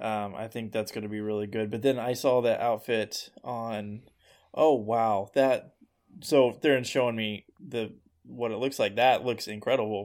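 At a fairly slow pace, a man with a plain, everyday voice speaks at a medium pitch with fairly even intonation, on a very clean recording with a silent background. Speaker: guest, returning friend of hosts. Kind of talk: casual banter.

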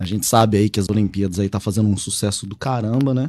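A man speaks at a fairly quick pace in a plain, everyday voice, with ordinary pitch variation. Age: 30s. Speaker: pen spinning enthusiast and agronomist. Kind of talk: casual chat. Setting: studio.

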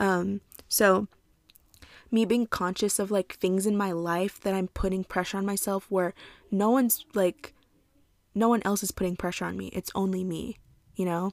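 A woman's medium-pitched voice in a flat monotone, at a moderate pace with long, frequent pauses, dry and close with no echo in a very clean recording and a silent background. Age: 20s. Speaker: podcast host. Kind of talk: solo podcast monologue. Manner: casual with many filler words.

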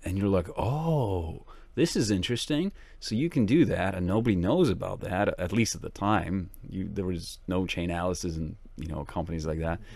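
Here is a plain, everyday voice at a moderate pace. Its intonation is lively. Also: man, fairly low pitch for a man. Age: 30s. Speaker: tech company co-founder and CTO. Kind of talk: interview. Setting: face-to-face on a boat trip. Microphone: professional equipment.

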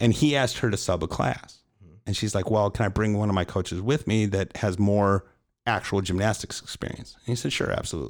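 A normal speaking voice, a man with an American accent, fairly low pitch, ordinary pitch variation and a fairly quick pace, in a very clean recording with a silent background. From Chicago, US Midwest. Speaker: podcast host and coach. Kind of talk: casual chat.

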